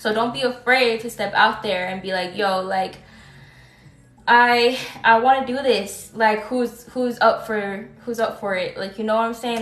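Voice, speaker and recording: Over background music and with audible room echo, a woman speaks at a fairly slow pace, her fairly high voice held in fairly even intonation. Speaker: tarot reader. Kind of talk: live stream tarot reading. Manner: halting, stutters at times; casual, filler-heavy.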